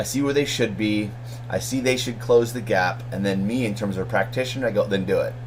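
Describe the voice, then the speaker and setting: An animated tone with audible room echo and noticeable background noise. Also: man. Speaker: MBA instructor. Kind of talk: recorded lecture to students. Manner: fast; casual, animated.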